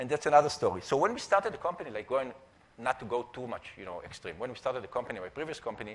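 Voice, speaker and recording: Speaking in an Israeli accent, the voice races along at a very fast pace. Its pitch swings very widely and its loudness rises and falls sharply. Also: man, medium pitch for a man. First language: Hebrew. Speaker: entrepreneur and conference speaker. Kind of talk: conference talk. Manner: halting, many fillers.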